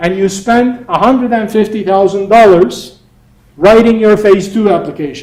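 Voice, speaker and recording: This man speaks with a Turkish accent. His pace is moderate. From Turkey. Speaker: entrepreneur and workshop instructor. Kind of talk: lecture. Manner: casual, conversational.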